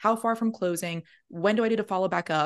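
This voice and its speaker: A woman with an American accent speaks in an unremarkable speaking voice at a moderate pace, with ordinary pitch variation and a quiet background. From New York. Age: 30s. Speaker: real estate agent, Air Force veteran. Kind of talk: casual interview chat.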